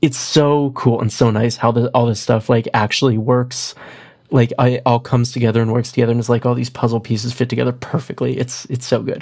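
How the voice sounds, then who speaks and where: Using a raspy, put-on character voice at a medium pitch, a man talks at a fairly quick pace. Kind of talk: casual, filler-heavy. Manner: fast, excited.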